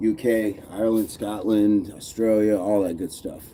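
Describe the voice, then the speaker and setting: A man's dark, mellow voice, fairly low in pitch. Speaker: fitness livestreamer. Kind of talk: live stream chat while working out. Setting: livestream. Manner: counting reps aloud.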